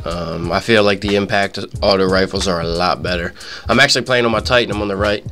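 Over music in the background, a man talks at a very fast pace and a fairly low pitch. His intonation is fairly even. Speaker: gamer. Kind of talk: live gameplay commentary. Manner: casual, profane.

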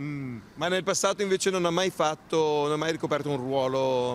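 A man speaks in a plain, everyday voice at a fairly high pitch with ordinary pitch variation. The sound is dry with no echo, over light background noise. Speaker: TV reporter. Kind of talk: vox pop street interviews. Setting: outdoors on the street. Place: street. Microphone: handheld.

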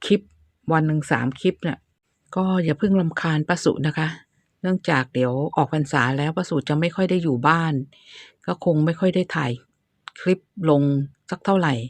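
Against a quiet background, a woman talks in a very deep, low pitch with ordinary pitch variation and a dry, close sound with no echo. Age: 60s. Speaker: gardening YouTuber. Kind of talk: tutorial. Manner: casual, chatty.

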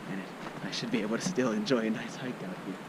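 A moderate pace over loud background noise, with a dry sound and no echo. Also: man. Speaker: hiker vlogger. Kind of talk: casual vlog chat. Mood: cheerful, relaxed. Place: forest. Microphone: phone near.

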